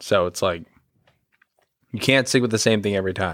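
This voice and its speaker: A man talks at a fairly low pitch with ordinary pitch variation. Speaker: podcast co-host. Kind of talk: casual chat. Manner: low-key, subdued.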